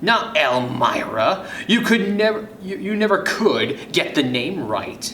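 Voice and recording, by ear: A man puts on a character voice in a slow, fairly high pitch with big pitch swings. His tone is bright and sharp, and room echo is audible.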